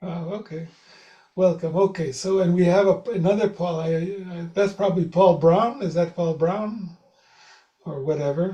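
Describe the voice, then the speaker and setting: Using fairly even intonation at a moderate pace, a man speaks with a high pitch and a dark, mellow tone. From Israel. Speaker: meditation teacher. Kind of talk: video call meeting.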